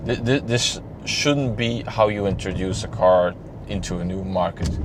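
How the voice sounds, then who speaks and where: With a Flemish accent, a man speaks at a moderate pace and fairly low pitch with ordinary pitch variation, amid noticeable background noise and audible room echo. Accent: Flemish Dutch accent in English. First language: Dutch. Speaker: car reviewer. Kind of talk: casual video review. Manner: halting, many repeated words.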